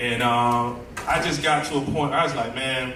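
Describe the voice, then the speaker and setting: Through noticeable background noise and audible room echo, a man speaks with monotone, flat intonation. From US South, Tallahassee, Florida. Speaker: music producer, book festival guest. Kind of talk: interview, personal story. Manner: casual, many fillers and repetitions.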